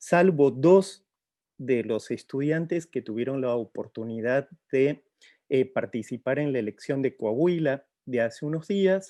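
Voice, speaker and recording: In a dry, close sound with no echo, a dark, mellow voice moves at a fairly slow pace with lively intonation. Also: man, quiet background. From outside Mexico. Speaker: professor. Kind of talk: formal address. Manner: hesitant with fillers.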